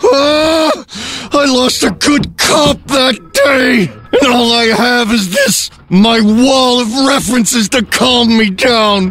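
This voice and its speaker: A man's extremely high-pitched voice at a very slow pace, over light background noise. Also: ordinary pitch variation. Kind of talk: comic overacting. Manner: ranting, shouting.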